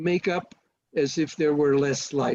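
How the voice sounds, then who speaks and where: A man's dark, mellow tone at a moderate pace, dry and close with no echo. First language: not English. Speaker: photography presenter. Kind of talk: webinar Q&A. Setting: video call. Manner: halting.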